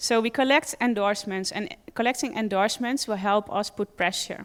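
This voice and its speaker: The speaker has a Dutch accent. The pace is moderate. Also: woman, fairly high pitch for a woman, ordinary pitch variation. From Netherlands. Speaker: animal rights campaigner. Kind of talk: conference talk.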